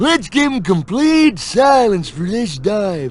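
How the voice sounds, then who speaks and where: A man puts on a character voice, high-pitched and drawling. His pitch swings very wide. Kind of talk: surfer-dude slang. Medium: video game. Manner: laid-back, drawling, slangy.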